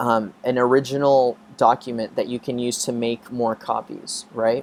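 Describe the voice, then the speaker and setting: Fairly even in intonation, an unremarkable speaking voice proceeds at a fairly slow pace. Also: man. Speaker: biology professor. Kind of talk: lecture. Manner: casual, filler-heavy.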